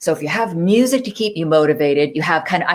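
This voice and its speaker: Her fairly low pitch shows ordinary variation as this woman speaks. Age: 60s. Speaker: fitness trainer. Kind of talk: casual chat. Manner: animated.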